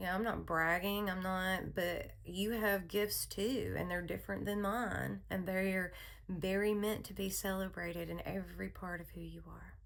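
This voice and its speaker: Audible room echo surrounds a woman's voice. She keeps a moderate pace with hardly any pauses. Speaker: therapist and hypnotherapist. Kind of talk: spoken personal message. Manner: soothing; casual, with fillers.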